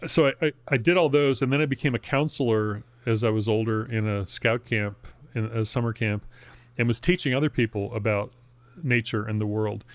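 A man talks at a fairly quick pace with a medium pitch and ordinary pitch variation. The recording is very clean and dry, with a close sound, no echo and a silent background. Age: 60s. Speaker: local politician and writer. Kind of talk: casual interview chat. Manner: halting, many fillers and restarts.

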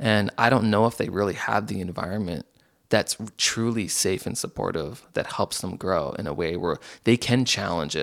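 Over a silent background in a very clean recording, a man with an unremarkable speaking voice talks at a moderate pace and fairly low pitch with lively intonation. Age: 30s. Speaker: communication facilitator and community builder. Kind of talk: casual chat.

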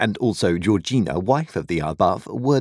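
The intonation moves in a lively way. It comes from a natural reading voice.

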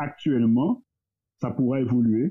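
A man speaks with ordinary pitch variation. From Guadeloupe. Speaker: entrepreneur. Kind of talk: casual discussion.

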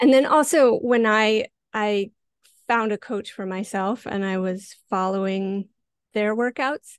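A woman with a plain, everyday voice, a fairly high pitch and an American accent, at a fairly slow pace, with a dry, close sound with no echo and a quiet background. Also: ordinary pitch variation. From Montana, US. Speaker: fitness coach. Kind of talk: interview.

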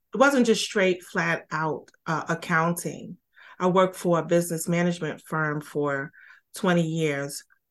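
A woman with a normal speaking voice talks at a fairly slow pace, her pitch fairly low and its variation ordinary, over a quiet background. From Brooklyn, New York. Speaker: financial services entrepreneur. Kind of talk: interview.

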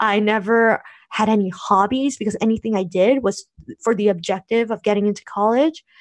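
The speaker has an ordinary speaking voice with an American accent, at a moderate pace. The background is quiet. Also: woman. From United States (Korean American). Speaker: blogger and podcaster. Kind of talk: interview conversation.

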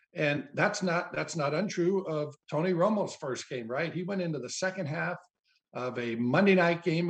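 A man with a normal speaking voice, a fairly high pitch and ordinary pitch variation. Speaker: football analyst. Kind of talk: casual chat.

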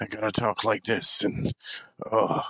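Raspy and medium-pitched, a man puts on a character voice at a moderate pace. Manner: gruff, macho, exaggerated.

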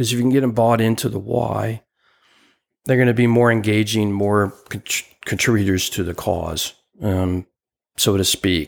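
A man's fairly low voice at a moderate pace, fairly even in intonation, with long, frequent pauses, on a very clean recording with a silent background. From US Northeast (New Jersey). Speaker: podcast co-host and business coach. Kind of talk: interview conversation.

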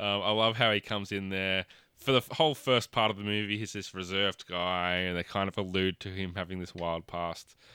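A man with an Australian accent speaks at a fairly quick pace with hardly any pauses, his very deep, low pitch carrying a bright, sharp tone and fairly even intonation, on a very clean recording with a silent background and a dry, close sound with no echo. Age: 30s. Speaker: podcast host. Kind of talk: casual chat.

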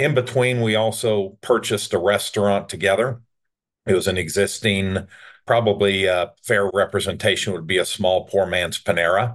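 A man talks in an ordinary speaking voice at a fairly low pitch and a moderate pace. His intonation stays fairly even against a quiet background. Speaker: entrepreneur. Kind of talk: interview, casual chat.

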